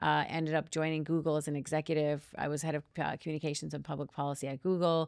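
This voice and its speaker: On a very clean recording with a silent background, a woman with an Upper Midwest accent talks at a very fast pace with hardly any pauses, using a very deep, low pitch and monotone, flat intonation. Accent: Upper Midwest American. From US Midwest, Minnesota. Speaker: communications and personal branding consultant. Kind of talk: podcast interview, personal story.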